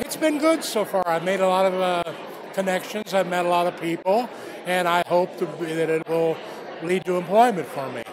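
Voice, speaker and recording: With noticeable background noise behind him, a man talks at a moderate pace in a high pitch with ordinary pitch variation. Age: 55+ (50s or older). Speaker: job seeker. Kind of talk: interview at event. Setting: job fair.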